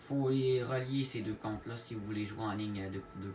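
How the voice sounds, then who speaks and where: Noticeable background noise runs under this man's speech. He has a strong Quebec accent and ordinary pitch variation. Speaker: gaming YouTuber. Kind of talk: gaming tutorial. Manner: hesitant, many fillers; casual.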